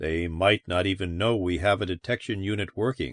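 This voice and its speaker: A put-on character voice from a man, pitched very deep and low, moving at a moderate pace. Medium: read story. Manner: weary, gloomy.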